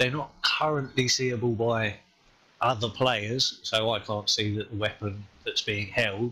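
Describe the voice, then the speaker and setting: A man with an English accent, a medium pitch and a bright, sharp tone, with fairly even intonation at a fairly slow pace. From England. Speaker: game community volunteer on podcast. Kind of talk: casual podcast chat.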